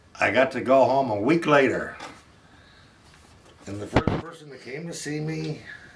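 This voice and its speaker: Over noticeable background noise, a man with a medium pitch and lively intonation talks at a moderate pace, with long, frequent pauses and big swings in loudness. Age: 60s. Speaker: lung cancer survivor. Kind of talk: personal story told to camera over photos. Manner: casual, hesitant.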